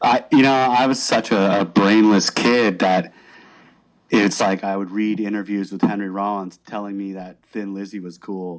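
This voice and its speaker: Fairly low in pitch, a man with an ordinary speaking voice talks at a moderate pace with fairly even intonation and big swings in loudness, on a very clean recording with a silent background. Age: 40s. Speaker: podcast host and band musician. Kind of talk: casual chat.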